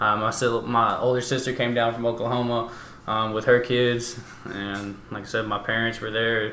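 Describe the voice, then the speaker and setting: A man's medium-pitched voice at a moderate pace, flat and monotone, with noticeable background noise and audible room echo. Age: 20s. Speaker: college baseball coach. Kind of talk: casual chat.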